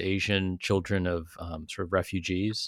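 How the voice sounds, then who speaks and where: In a very clean recording with a silent background, a man speaks with a Californian accent. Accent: General American (Californian). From US West Coast, California South Bay (Silicon Valley). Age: 40s. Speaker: writer and professor. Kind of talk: interview.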